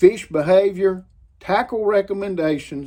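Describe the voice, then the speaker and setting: A man speaks very slowly in a dark, mellow tone. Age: 60s. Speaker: bass fishing YouTuber. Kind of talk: casual vlog talk to camera. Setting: workshop. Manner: halting, with many repetitions.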